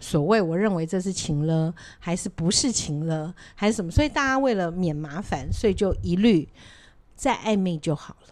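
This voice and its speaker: A woman with a normal speaking voice talks at a moderate pace, fairly low in pitch, with lively intonation and big swings in loudness. The recording is very clean, with a silent background. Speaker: podcast co-host. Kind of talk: casual chat.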